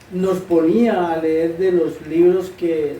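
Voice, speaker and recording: The speech comes at a very slow pace with audible room echo. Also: man. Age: 60s. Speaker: interviewee. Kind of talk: interview answers.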